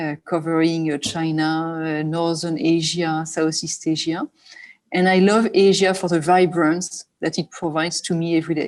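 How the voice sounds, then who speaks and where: Monotone, flat intonation in a French accent at a moderate pace against a quiet background. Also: woman, fairly low pitch for a woman. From France. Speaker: business executive. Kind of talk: panel discussion. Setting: online webinar.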